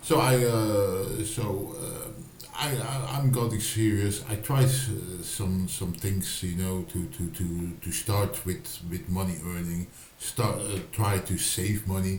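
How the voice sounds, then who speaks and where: Very slowly, a man with a Dutch accent speaks in a fairly low pitch with ordinary pitch variation, amid noticeable background noise and audible room echo. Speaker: writer and video blogger. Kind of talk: casual vlog monologue. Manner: halting, many fillers and repetitions.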